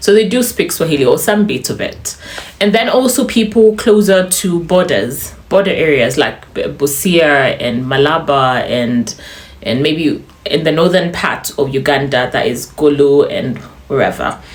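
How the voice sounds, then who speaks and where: Over noticeable background noise, the voice moves at a fairly slow pace with very wide pitch swings. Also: woman, fairly low pitch for a woman. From Uganda. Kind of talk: casual talk to camera.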